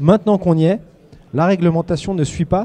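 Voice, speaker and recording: This man has a dark, mellow tone. He talks at a moderate pace. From Haute-Savoie, eastern France. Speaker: construction company director. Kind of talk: panel discussion. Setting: TV set at a trade fair.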